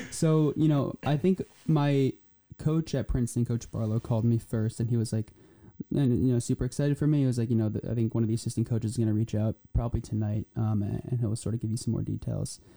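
Speaking at a very fast pace with an American accent, a man has a dark, mellow tone in a dry, close sound with no echo. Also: medium pitch for a man, ordinary pitch variation. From New Jersey. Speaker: college soccer player. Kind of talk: casual chat.

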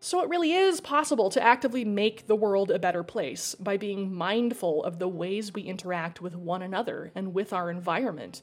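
A woman with a plain, everyday voice speaks at a medium pitch with lively intonation. Her pace is fairly quick, with hardly any pauses. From Idaho. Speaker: podcast host and fiction writer. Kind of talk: casual interview chat; scripted narration.

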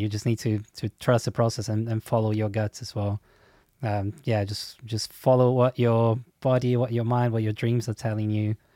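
A man with a Portuguese accent and medium pitch at a moderate pace, on a very clean recording with a silent background. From Brazil. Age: 30s. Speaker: songwriting teacher and musician. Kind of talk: interview.

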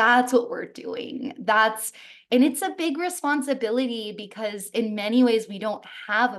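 A woman speaks at a fairly slow pace in an animated tone, her intonation lively. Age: 30s. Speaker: wellness coach. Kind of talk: casual chat.

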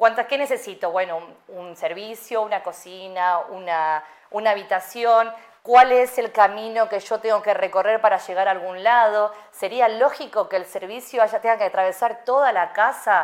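This woman has an unremarkable speaking voice with a fairly high pitch. She talks at a moderate pace with ordinary pitch variation. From Argentina. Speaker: UX/UI designer and psychologist. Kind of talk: interview.

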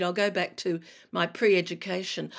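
A woman's fairly low-pitched voice with vocal fry and an Australian accent. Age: 60s. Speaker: retired broadcaster and cancer patient advocate. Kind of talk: interview. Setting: remote call.

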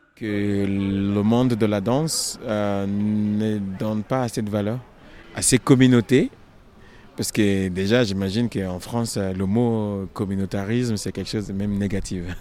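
Slowish and fairly even in intonation, a man speaks at fairly low pitch in a dark, mellow tone. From Nigeria. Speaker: choreographer. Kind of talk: interview.

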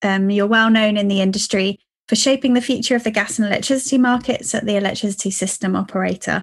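The voice is somewhat breathy and very fast, with fairly even intonation over a quiet background. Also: woman. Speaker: podcast host. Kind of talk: casual interview chat.

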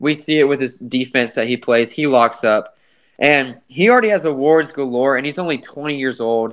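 At a moderate pace, a man with an unremarkable speaking voice and an American accent talks at medium pitch with ordinary pitch variation. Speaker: sports podcast host. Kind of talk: casual sports chat.

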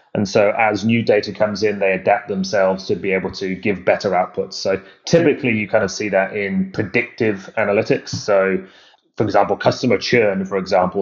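His delivery moves fairly quickly. The man's intonation is fairly even throughout. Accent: English. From UK. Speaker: AI company founder. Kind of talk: interview.

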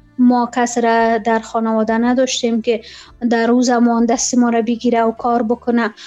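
A woman's high voice holds a monotone, flat intonation as she moves at a moderate pace. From Afghanistan. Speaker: former journalist and presenter. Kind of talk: interview. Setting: Skype call.

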